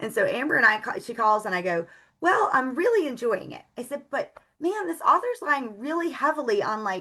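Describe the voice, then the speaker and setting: A woman speaks in a high pitch with a bright, sharp tone and a raised, projected voice. Her pitch swings very widely and her loudness shifts in big swings. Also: fairly quick pace. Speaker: book blogger. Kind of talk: casual chat. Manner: fast.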